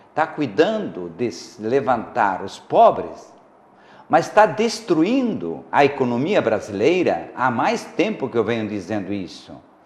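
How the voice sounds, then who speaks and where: Very slowly, a man with a fairly high pitch and vocal fry speaks with very wide pitch swings. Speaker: psychologist and commentator on the show. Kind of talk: talk show discussion. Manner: sometimes loud and excited, sometimes very quiet; halting with fillers.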